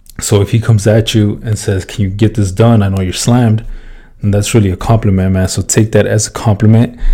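Somewhat breathy, a man speaks at a fairly low pitch in a dark, mellow tone with monotone, flat intonation. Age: 20s. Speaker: podcast host, construction worker. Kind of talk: casual monologue. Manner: casual, filler-heavy.

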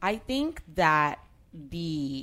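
A woman speaks with a very deep, low pitch. The recording is very clean with a silent background. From Colombia, partly raised in Miami. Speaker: street artist. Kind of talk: casual interview.

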